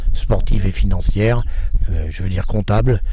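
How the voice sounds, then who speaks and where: At a moderate pace, a man with fairly low pitch speaks with fairly even intonation over noticeable background noise and audible room echo. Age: 70s. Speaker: veterinarian and horse trainer. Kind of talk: interview. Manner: hesitant.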